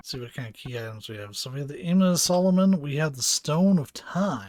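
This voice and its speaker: The pace is fairly quick, with big swings in loudness and very wide pitch swings. The voice sounds somewhat breathy. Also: man, fairly high pitch for a man. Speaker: gaming streamer. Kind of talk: live gameplay commentary. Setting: live stream.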